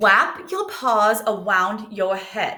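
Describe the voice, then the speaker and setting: A squeaky, female-sounding put-on character voice sits at a fairly high pitch. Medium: read story.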